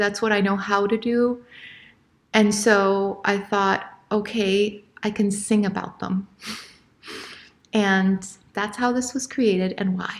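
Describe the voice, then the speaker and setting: Monotone, flat delivery at a fairly slow pace, with long, frequent pauses and audible room echo. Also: woman. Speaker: classical singer and presenter. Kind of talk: lecture presentation. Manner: halting, many fillers.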